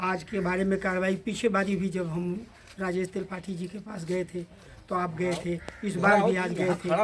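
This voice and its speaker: A man talks in a high voice at a moderate pace, with noticeable noise in the background. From eastern Uttar Pradesh, Kushinagar. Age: 70s. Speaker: community activist. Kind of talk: interview statement to a news channel. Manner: halting, with fillers.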